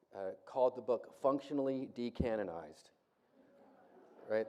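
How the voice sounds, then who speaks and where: Here a man speaks with an American accent. His medium-pitched voice has a dark, mellow tone. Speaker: Bible professor, conference speaker. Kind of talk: lecture. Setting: conference hall with audience. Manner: fast; casual, conversational.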